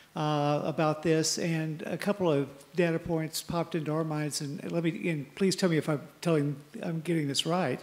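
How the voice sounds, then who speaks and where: Monotone, flat intonation at a moderate pace. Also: man, fairly high pitch for a man. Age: 60s. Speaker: open mic participant, former area director. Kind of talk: open mic comment at plenary. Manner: hesitant, many fillers.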